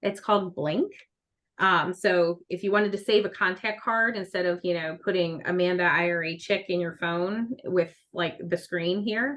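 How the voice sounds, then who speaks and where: A woman with an ordinary speaking voice talks at a moderate pace and medium pitch, with ordinary pitch variation and big swings in loudness. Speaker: self-directed IRA specialist. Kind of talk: webinar presentation. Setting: live webinar.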